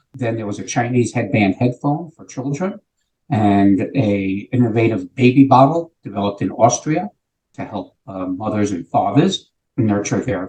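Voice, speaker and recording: With music in the background, a man with an American accent speaks at a moderate pace and medium pitch, using lively intonation and big swings in loudness. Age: 70s. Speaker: sales executive. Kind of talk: interview.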